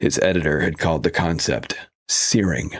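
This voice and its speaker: The speech has vocal fry and ordinary pitch variation. It moves at a fairly slow pace. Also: man. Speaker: audiobook narrator / voice actor. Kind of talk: audiobook narration of a literary thriller.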